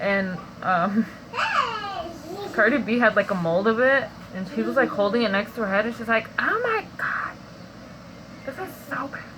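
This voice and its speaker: A whispered voice moves at a moderate pace, with long, frequent pauses. Noticeable background noise runs underneath. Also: woman. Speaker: vlogger sharing dream interpretations. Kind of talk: casual monologue, dream testimony. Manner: casual, filler-heavy; whispering.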